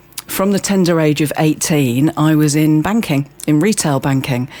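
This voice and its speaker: A woman's very deep, low-pitched voice with lively intonation over noticeable background noise. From Birmingham, England. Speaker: community centre manager. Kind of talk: casual interview chat.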